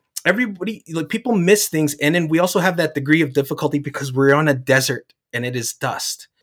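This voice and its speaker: Hardly any pauses break the very fast pace of this man's speech. He has a fairly high pitch and an American accent. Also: ordinary pitch variation. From New Jersey, US East Coast. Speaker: environmental restoration manager. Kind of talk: interview. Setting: live event.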